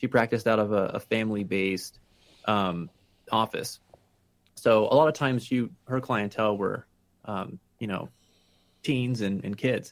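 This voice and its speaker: With long, frequent pauses, a man with a Pennsylvania accent talks at a moderate pace. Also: ordinary pitch variation. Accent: Pennsylvania American. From Pennsylvania, Allentown (Lehigh Valley). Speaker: patient sharing mental health experience. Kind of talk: interview. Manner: halting with frequent fillers.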